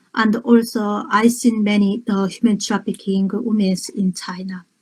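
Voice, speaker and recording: A woman speaks at a fairly slow pace in a medium pitch. Her voice is somewhat breathy, with fairly even intonation. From North Korea. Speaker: human rights activist and poet. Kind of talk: interview. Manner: halting.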